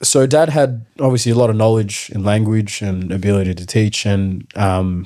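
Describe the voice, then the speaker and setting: Recorded very cleanly against a silent background, a man speaks in a fairly low pitch with a South Sudanese accent. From South Sudan (Nuer), grew up in refugee camp in Ethiopia. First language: Nuer. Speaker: footballer. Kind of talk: podcast interview. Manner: casual, many filler ums.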